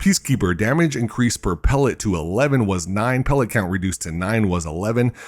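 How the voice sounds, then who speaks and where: A soft-spoken man with a fairly low pitch talks at a fairly quick pace with lively intonation. The recording is very clean, with a silent background. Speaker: gaming news creator. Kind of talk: patch notes reading. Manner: soft, ASMR-style.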